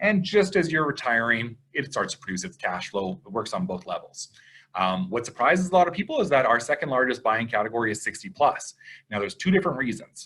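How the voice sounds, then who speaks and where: Very fast and with very wide pitch swings, a man talks at a medium pitch in a bright, sharp tone. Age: 30s. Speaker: investment company executive presenting to clients. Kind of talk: webinar presentation. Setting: online webinar. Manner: fast, hurrying through slides.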